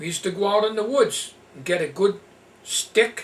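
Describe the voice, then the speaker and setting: High-pitched male speech at a moderate pace, with ordinary pitch variation and noticeable background noise. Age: 60s. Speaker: vlogger. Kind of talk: casual reminiscing monologue. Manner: halting.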